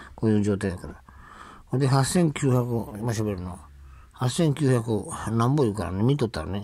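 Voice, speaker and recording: The pace is moderate and the background quiet. The sound is dry, with no echo. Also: man. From Hakodate, Hokkaido (raised there until 17); Hokkaido, Japan. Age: 70s. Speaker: vlogger on welfare. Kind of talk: casual monologue. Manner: rambling, frequent laughter. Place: home room. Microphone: phone near.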